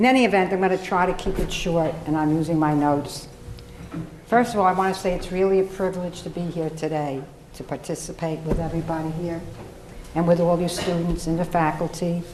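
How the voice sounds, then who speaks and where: Fairly quick speech with fairly even intonation comes through over noticeable background noise. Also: woman, fairly low pitch for a woman. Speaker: lawyer. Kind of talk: panel speech to college audience.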